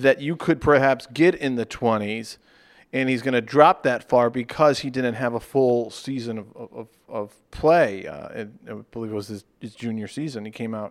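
This man has an unremarkable speaking voice at a medium pitch, with ordinary pitch variation, on a very clean recording with a silent background. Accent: American. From Charlotte, North Carolina. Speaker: sports podcast co-host. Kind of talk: casual chat.

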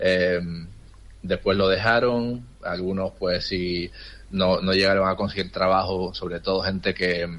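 At a fairly slow pace, a man speaks with fairly even intonation. His pitch is very deep and low. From Tenerife. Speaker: trade office worker abroad. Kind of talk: interview.

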